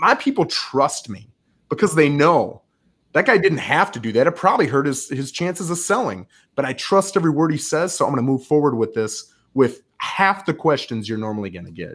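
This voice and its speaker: A man's fairly high voice with vocal fry, a fairly quick pace, big swings in loudness, very wide pitch swings and an energetic tone, over a quiet background. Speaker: real estate agent and team leader, military veteran; guest. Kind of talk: podcast interview. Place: home room.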